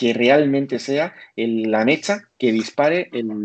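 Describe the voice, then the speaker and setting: A man talks in a medium pitch at a fairly slow pace. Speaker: telecommunications engineer. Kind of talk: expert interview. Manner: talkative.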